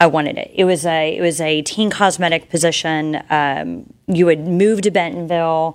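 A woman with an American accent speaks at a moderate pace in an unremarkable speaking voice, fairly low in pitch with fairly even intonation. The recording is very clean, with a silent background. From South Texas. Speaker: real estate agent. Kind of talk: interview. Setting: studio.

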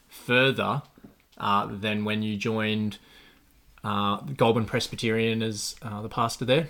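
The delivery is monotone and flat, moving at a fairly slow pace. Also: man. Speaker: podcast host. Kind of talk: casual interview chat.

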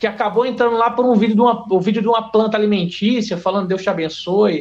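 A fairly quick-paced man with a high pitch and ordinary pitch variation. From Porto Velho, Rondônia, northern Brazil. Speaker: biologist and bushcraft content creator. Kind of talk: casual podcast interview.

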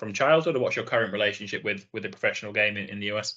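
A man with a British accent, a fairly low pitch, a bright, sharp tone and fairly even intonation, against a quiet background. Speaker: podcast host. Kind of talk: interview.

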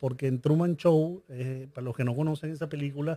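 The voice is somewhat breathy with a dark, mellow tone, moving at a fairly quick pace with fairly even intonation in a very clean recording with a silent background. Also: man. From Venezuela. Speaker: business coach and entrepreneur. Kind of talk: interview conversation.

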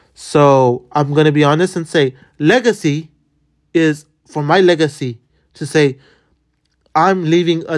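A man's fairly high-pitched voice at a fairly slow pace, with long, frequent pauses, ordinary pitch variation, and a very clean recording against a silent background. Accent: American. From Los Angeles, Boyle Heights. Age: 20s. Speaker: podcast host. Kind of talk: solo casual monologue. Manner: halting, many repetitions.

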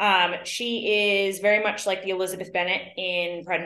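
Here a woman has an unremarkable speaking voice, medium in pitch and moderate in pace. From New York. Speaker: actress. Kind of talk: casual interview.

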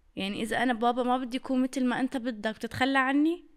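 This is a woman speaking with a high-pitched voice. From Syria. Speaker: content creator. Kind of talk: casual interview chat.

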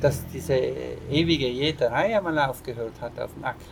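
Noticeable background noise sits behind a man speaking at a moderate pace, fairly high in pitch, with ordinary pitch variation. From South Tyrol, Ahrntal. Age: 40s. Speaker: organic farmer. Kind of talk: interview. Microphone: poor audio quality.

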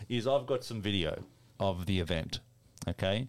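A man with an Australian accent, fairly low in pitch, at a moderate pace with ordinary pitch variation, on a very clean recording with a silent background. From Melbourne, Australia. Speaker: podcast host. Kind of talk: casual chat with banter. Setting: studio.

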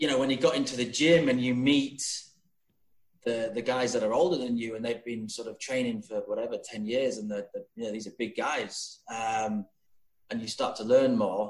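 A man with a Yorkshire accent speaks at a moderate pace with a medium pitch and fairly even intonation. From Yorkshire, England. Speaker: guest. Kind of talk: casual interview chat. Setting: video call.

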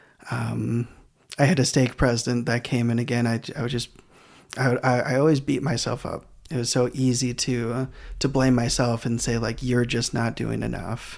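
A man with a Midwestern American accent speaks at medium pitch and a moderate pace. His intonation stays monotone and flat. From Michigan, US Midwest. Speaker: physical therapist. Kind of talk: casual chat.

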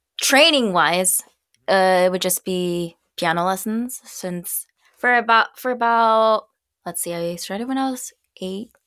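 An ordinary speaking voice from a woman in an American accent, medium in pitch with ordinary pitch variation, at a fairly slow pace, in a very clean recording with a silent background. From United States. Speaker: singer and streamer. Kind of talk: casual chat.

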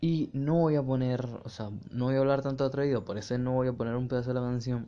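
In a Venezuelan accent, a man talks at a fairly quick pace. His voice sits at medium pitch with a dark, mellow tone. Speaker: podcast host, music reviewer. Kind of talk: casual solo commentary. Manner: animated.

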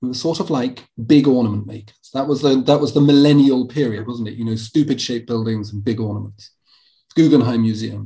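Somewhat breathy and dark, mellow in tone, a man talks at a fairly quick pace and medium pitch, with ordinary pitch variation and big swings in loudness. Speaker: podcast host and architecture lecturer. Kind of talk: interview.

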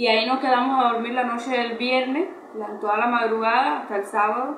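A woman with a high pitch talks with fairly even intonation. Room echo is audible, and background noise is noticeable. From Cuba. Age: 20s. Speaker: interviewee. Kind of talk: testimony. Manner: halting.

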